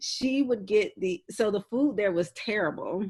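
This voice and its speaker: Speaking at a fairly slow pace, a woman uses a fairly high pitch and a Southern accent. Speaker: podcast co-host. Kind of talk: casual chat.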